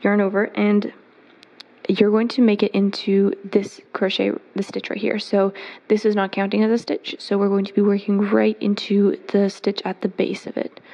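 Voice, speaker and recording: A woman's medium-pitched voice comes through noticeable background noise, delivered at a moderate pace. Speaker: crochet teacher. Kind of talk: tutorial.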